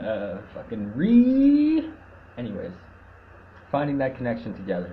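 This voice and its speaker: A man's somewhat breathy voice at a fairly slow pace, with ordinary pitch variation and audible room echo. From Canada. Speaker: activist livestreamer. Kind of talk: casual monologue. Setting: live video stream. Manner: stuttering.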